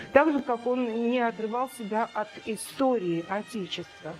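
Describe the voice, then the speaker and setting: A woman talks here. Behind her, background noise is noticeable. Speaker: art historian. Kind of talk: museum art lecture. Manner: hesitant, many filler sounds.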